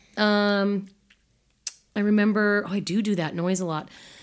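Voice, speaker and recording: A woman with an American accent at a moderate pace. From US West Coast (Utah, California, Seattle). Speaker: podcast host, sex educator. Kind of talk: casual chat.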